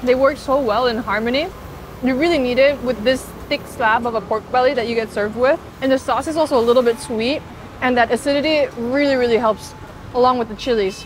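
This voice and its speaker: Noticeable background noise sits behind a woman with an American accent. She speaks at a high pitch and a fairly quick pace. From South Korea. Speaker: food vlogger. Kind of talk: food vlog narration. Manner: animated.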